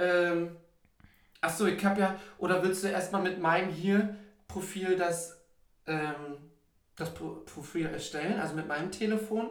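The speech moves at a fairly slow pace with long, frequent pauses and fairly even intonation, and audible room echo surrounds it. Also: man, high pitch for a man. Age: 30s. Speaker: podcast co-host. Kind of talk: casual chat. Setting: sitting in a bathtub with microphone.

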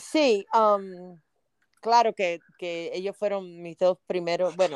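A woman's medium-pitched voice, fairly slow and fairly even in intonation. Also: dry, close sound with no echo. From Cuba (Havana), raised in New Orleans. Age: 60s. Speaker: Spanish teacher. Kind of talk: interview.

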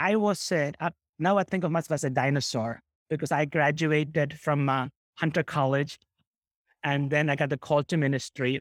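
This is a very clean recording with a silent background. The voice has an American accent and moves at a moderate pace. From New York City (South Bronx), Kerala-born. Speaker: pastor and seminary dean. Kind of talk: interview conversation.

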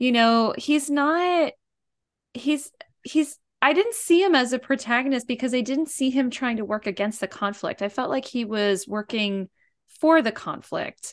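Woman's high-pitched voice at a moderate pace, lively intonation, quiet background. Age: 40s. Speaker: podcast co-host, movie lover. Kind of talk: casual chat.

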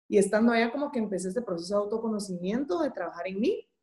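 Talking at a very fast pace, a woman uses a fairly high, somewhat breathy voice with a dark, mellow tone and lively intonation. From Guatemala. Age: 30s. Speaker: entrepreneur and graphic designer. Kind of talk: interview.

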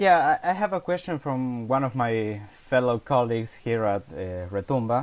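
Speaking with an Argentine accent, a man at medium pitch lets his voice swing very widely up and down. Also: moderate pace. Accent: Argentine Spanish (Rioplatense). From Argentina. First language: Spanish. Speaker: music blogger, interviewer. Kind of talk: interview. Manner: repeats words, stammers slightly.

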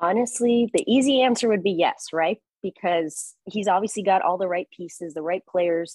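Recorded with a dry, close sound and no echo, a woman with an unremarkable speaking voice talks in an American accent at medium pitch and a moderate pace, with ordinary pitch variation and hardly any pauses. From Chicago, US Midwest. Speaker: TV sports anchor. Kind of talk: casual interview.

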